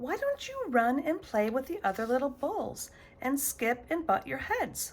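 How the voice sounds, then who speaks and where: In a put-on character voice, a woman speaks at a high pitch and moderate pace over light background noise. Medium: read story. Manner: warm, motherly.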